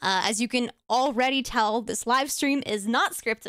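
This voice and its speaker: The tone is bright and sharp, with ordinary pitch variation. The pace is moderate. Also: woman. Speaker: vtuber streamer. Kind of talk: unscripted live stream talk. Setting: live stream. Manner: rambling, hesitant with fillers.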